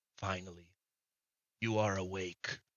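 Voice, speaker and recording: A man's put-on character voice, very deep and low in pitch, with monotone, flat intonation. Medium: actual play. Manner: slow, lofty, condescending.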